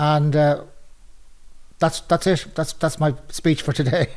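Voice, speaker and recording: A man's fairly high voice in an Irish accent, very slow, broken by long, frequent pauses. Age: 60s. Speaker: retiree, men's shed member. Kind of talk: testimony.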